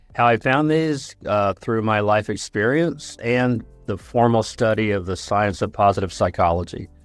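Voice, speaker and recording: A man with a fairly low pitch speaks at a moderate pace with ordinary pitch variation. He leaves hardly any pauses, with music in the background. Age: 60s. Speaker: psychologist and growth coach. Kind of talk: podcast interview.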